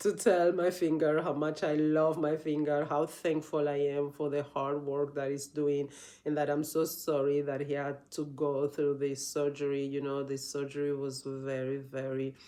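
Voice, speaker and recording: With a non-native accent, a woman speaks at a very deep, low pitch in a dark, mellow tone. Her pace is fairly slow and her intonation monotone and flat. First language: not English. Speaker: yoga teacher. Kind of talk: casual vlog talk. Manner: halting, many restarts and fillers.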